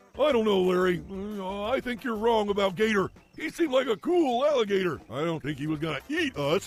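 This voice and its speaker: A cartoonish character voice from a man, high-pitched and at a fairly quick pace. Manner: goofy, easygoing.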